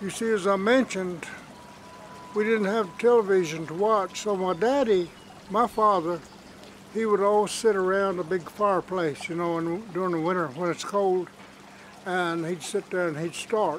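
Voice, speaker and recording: A man talks in an Appalachian accent at a high pitch, with ordinary pitch variation. He takes long, frequent pauses, and there is noticeable background noise. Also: moderate pace. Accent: Southern Appalachian American. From US South, western North Carolina (Cherokee reservation). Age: 80s+. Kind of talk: interview, personal reminiscence. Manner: halting, many fillers.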